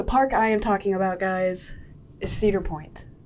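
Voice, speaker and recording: With an American accent, the woman keeps a moderate pace and varies her pitch in an ordinary way. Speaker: travel vlogger. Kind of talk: vlog narration. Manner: animated.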